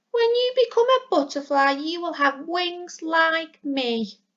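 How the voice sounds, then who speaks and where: Putting on a squeaky character voice, a woman speaks at an extremely high pitch with very wide pitch swings at a fairly slow pace. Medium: read story. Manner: warm, reassuring.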